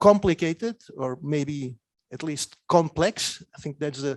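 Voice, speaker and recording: The man talks at a fairly slow pace. His intonation is lively. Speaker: political scientist. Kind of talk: academic talk. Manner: hesitant, many fillers and repetitions.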